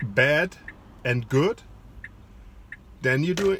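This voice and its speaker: Somewhat breathy and fairly high-pitched, a man speaks with a German accent and ordinary pitch variation. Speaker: psychologist and life coach. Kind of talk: online coaching lecture. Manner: halting, frequent fillers.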